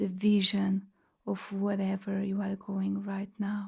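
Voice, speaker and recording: In a Portuguese accent, a woman speaks at a very slow pace and medium pitch with a dark, mellow, calm tone, somewhat breathy and in a monotone, flat intonation. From Portugal, Lisbon. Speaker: sound healer. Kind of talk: guided meditation. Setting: live online group session.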